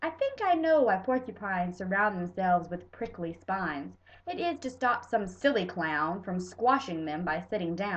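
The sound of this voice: Reading in an unforced voice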